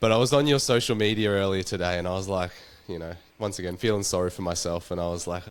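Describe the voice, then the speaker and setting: Speaking at a very fast pace, a man with an Australian accent has a very deep, low pitch. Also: ordinary pitch variation. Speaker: podcast host. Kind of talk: casual chat.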